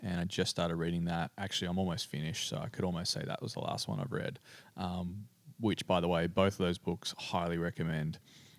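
A man with an Australian accent talks very fast in a very deep, low voice with fairly even intonation. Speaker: pastor. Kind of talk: interview.

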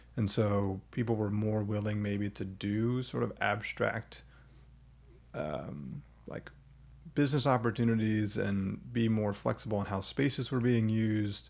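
Speaking at a fairly slow pace, the speaker uses a plain, everyday voice with ordinary pitch variation. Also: man, fairly low pitch for a man. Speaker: podcast host. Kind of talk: casual interview chat.

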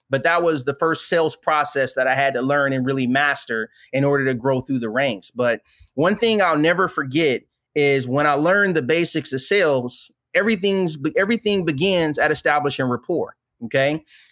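Speaking at a moderate pace with an American accent, a man with a fairly high pitch uses an animated tone, ordinary pitch variation and very even loudness, in a dry, close sound with no echo. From Flint, Michigan. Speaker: army veteran and entrepreneur. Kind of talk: interview.

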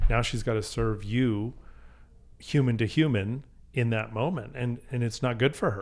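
The voice is a man's, a plain, everyday voice at medium pitch. He keeps a moderate pace with ordinary pitch variation. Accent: Canadian. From Canada, Calgary. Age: 50s. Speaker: restaurant group partner. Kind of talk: casual chat.

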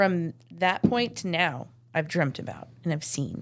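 In a very clean recording with a silent background, a woman talks at a fairly slow pace in a very deep, low voice with vocal fry and lively intonation. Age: 40s. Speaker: florist. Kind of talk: casual chat.

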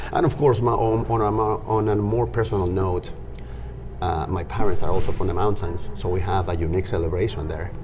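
A man with a very deep, low voice speaks at a fairly quick pace. Noticeable background noise is present. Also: ordinary pitch variation. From Peru. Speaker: music and dance educator. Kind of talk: casual interview conversation.

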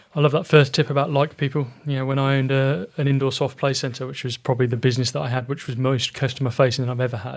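Very fast and somewhat breathy, a man with a southern English accent speaks with hardly any pauses and fairly even intonation. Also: medium pitch for a man. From Oxfordshire, England. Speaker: podcast host, business mentor. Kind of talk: interview.

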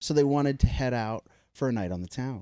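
In an animated tone, a man speaks at a fairly quick pace with a medium pitch. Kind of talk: casual banter, then dramatic story reading. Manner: animated, profane, laughing.

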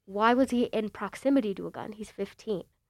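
An American accent marks this woman's moderately paced speech. Her intonation is fairly even, and the sound is dry and close with no echo. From Chicago suburbs, Illinois. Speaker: student reporter. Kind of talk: casual chat.

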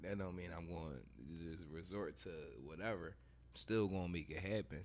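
Very deep, low-pitched male speech with vocal fry and ordinary pitch variation. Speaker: podcast co-host. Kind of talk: casual chat.

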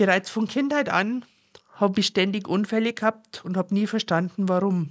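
The speaker has a strong Bavarian accent. The recording is very clean, with a silent background. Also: woman. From Upper Bavaria, Germany. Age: 50s. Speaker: podcast host and personal development coach. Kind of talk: personal monologue. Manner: irregular pauses.

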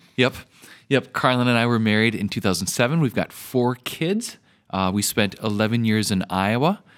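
On a very clean recording with a silent background, a man with an American accent uses an ordinary speaking voice, medium in pitch with ordinary variation, at a moderate pace. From Minnesota. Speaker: pastor. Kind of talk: interview.

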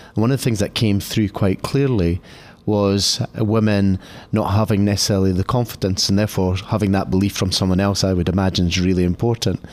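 A man speaks in an unremarkable speaking voice at a fairly quick pace. His intonation is fairly even and his loudness very even. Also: fairly low pitch for a man. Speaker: podcast interviewer. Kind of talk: interview.

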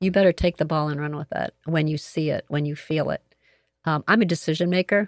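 A woman speaks in a very deep, low voice, recorded very cleanly and close up, dry with no echo against a silent background. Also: fairly quick pace. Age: 60s. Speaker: retired sales entrepreneur and consultant. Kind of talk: podcast interview. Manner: bubbly; energetic.

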